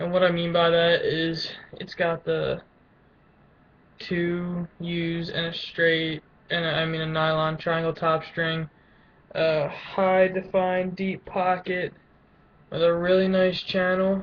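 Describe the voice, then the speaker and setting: A man speaks very slowly at a high pitch in a monotone, flat intonation, with long, frequent pauses. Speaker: lacrosse player vlogger. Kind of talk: casual webcam show-and-tell. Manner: halting, stuttering.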